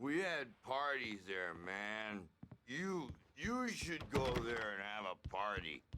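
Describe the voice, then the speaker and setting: Using a put-on character voice at a medium pitch, a man speaks at a very slow pace with very wide pitch swings. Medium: video game. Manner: laid-back slang, rambling.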